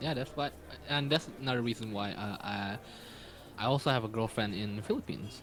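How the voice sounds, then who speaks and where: A man with an Indonesian accent at medium pitch, fairly quick pace with long, frequent pauses and ordinary pitch variation. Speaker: stream viewer contestant. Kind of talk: casual chat. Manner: halting.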